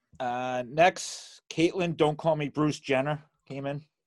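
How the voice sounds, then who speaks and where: Using a Boston accent, a man with a fairly high pitch speaks very slowly with fairly even intonation. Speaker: sports autograph collector. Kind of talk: casual chat. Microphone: good microphone, newly set up.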